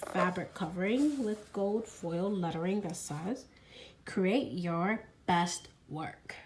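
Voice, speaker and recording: At a fairly slow pace and medium pitch, a woman speaks with ordinary pitch variation amid noticeable background noise. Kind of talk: casual unboxing talk to camera.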